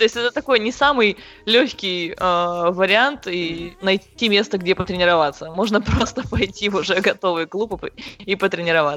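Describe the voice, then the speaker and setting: Here is a woman with an unremarkable speaking voice at medium pitch. She keeps a moderate pace with ordinary pitch variation. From Siberia, Krasnoyarsk. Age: 20s. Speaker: CrossFit athlete and coach. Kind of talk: interview.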